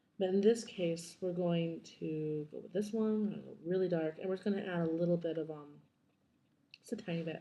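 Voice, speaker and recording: A woman's quiet voice at medium pitch, with ordinary pitch variation and a moderate pace. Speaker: digital artist. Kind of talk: screen-recorded software tutorial. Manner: droll.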